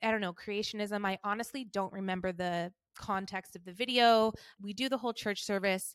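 A normal speaking voice with an American accent and fairly even intonation, recorded dry and close with no echo on a very clean recording with a silent background. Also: woman. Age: 30s. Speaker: podcast host. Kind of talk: personal storytelling monologue. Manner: casual, conversational.

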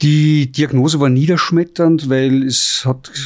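Using a plain, everyday voice, a man speaks at a fairly slow pace. His intonation stays fairly even. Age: 50s. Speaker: chef and restaurant owner. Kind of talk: testimony. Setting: restaurant.

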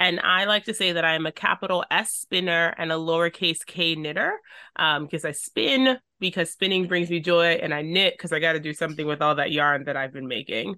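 A woman with an ordinary speaking voice, fairly low in pitch, talks at a fairly quick pace. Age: 30s. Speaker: registered nurse and fiber artist. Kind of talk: casual chat.

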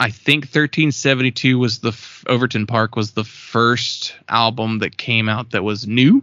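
At a moderate pace, a man talks in a plain, everyday voice with medium pitch. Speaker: podcast co-host. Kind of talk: casual chat.

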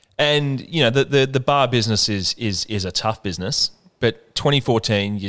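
Speaking at a moderate pace with an Australian accent, a man uses a medium pitch with ordinary pitch variation. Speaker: podcast host. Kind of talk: casual interview chat. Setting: on location in a bar.

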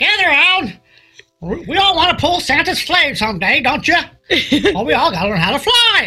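Over faint music in the background, a put-on character voice in a high pitch swings very widely at a moderate pace, broken by long, frequent pauses. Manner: stern, rallying.

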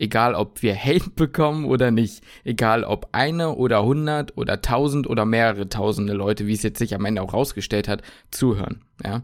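At a fairly quick pace, a normal speaking voice with ordinary pitch variation comes through on a very clean recording with a silent background. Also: man, medium pitch for a man. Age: 20s. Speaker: podcast host, medical student. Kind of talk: casual chat. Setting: home kitchen.

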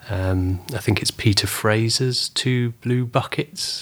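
A man with a fairly low voice and a southern English accent, very slow and flat in monotone. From southern England (Weymouth, Dorset). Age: 40s. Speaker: photographer. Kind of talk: interview.

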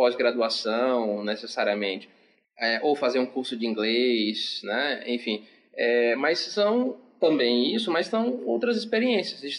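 A man at a medium pitch, very slow, with very wide pitch swings. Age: 20s. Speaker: psychologist. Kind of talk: casual chat.

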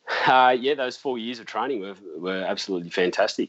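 With an Australian accent, the voice shows ordinary variation in pitch. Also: man. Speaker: seaplane pilot. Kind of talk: interview.

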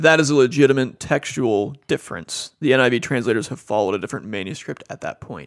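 A man at a medium pitch, very fast, with vocal fry. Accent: American. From Cincinnati, Ohio. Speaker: seminary professor. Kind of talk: casual interview.

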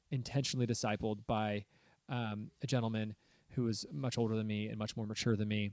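At a moderate pace, a man with an American accent talks at a medium pitch in a normal speaking voice. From Southern California. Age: 30s. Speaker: pastor and podcast host. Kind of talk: casual chat.

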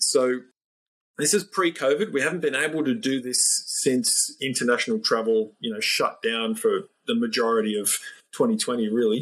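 With an Australian accent, a man speaks at a moderate pace and a fairly high pitch, his pitch swinging very widely. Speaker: NLP trainer and business coach. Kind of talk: interview conversation.

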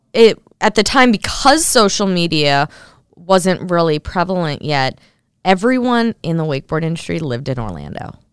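Woman's voice with very wide pitch swings, dry and close with no echo, in a very clean recording over a silent background. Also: fairly low pitch for a woman, moderate pace. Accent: American. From Minnesota, US. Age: 20s. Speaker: professional wakeboarder and TV host. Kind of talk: casual interview.

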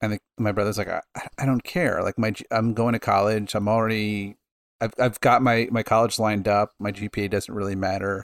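A man with an ordinary speaking voice and a fairly low pitch talks at a fairly quick pace with fairly even intonation, recorded dry and close with no echo against a silent background in a very clean recording. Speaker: podcast co-host. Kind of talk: casual chat.

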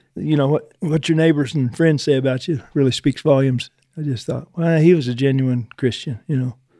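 A dark, mellow tone moves at a fairly quick pace with fairly even intonation. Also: man, fairly high pitch for a man. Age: 60s. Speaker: reining horse trainer. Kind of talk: casual interview.

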